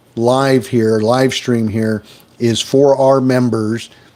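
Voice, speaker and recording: A man speaks at medium pitch with an American accent. His pace is very slow and his intonation fairly even. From US Midwest, Wisconsin. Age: 60s. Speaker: stock trading livestreamer. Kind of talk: live stream chat.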